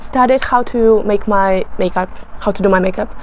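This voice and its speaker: Here a woman is speaking. Noticeable background noise runs under her voice. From Russia. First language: Russian. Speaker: beauty vlogger. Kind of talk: casual talk to camera while doing makeup. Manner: halting, many fillers and self-corrections.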